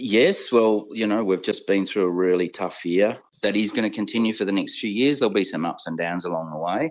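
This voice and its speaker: A man talks at a fairly quick pace with a fairly low pitch. He has a normal speaking voice with ordinary pitch variation. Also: hardly any pauses. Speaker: industry body chief executive. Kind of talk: interview.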